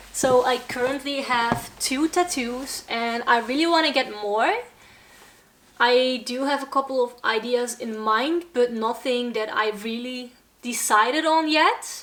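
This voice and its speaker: A woman with a Brabant accent, high in pitch, with ordinary pitch variation and a fairly slow pace. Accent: Dutch accent, Brabant. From Netherlands, Brabant (south). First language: Dutch. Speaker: metal vlogger and band musician. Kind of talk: casual Q&A vlog. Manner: halting, searching for words.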